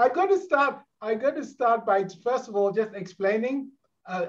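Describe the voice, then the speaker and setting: Lively intonation marks the way this man speaks. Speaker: keynote speaker on leadership. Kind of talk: conference keynote. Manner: fast; animated.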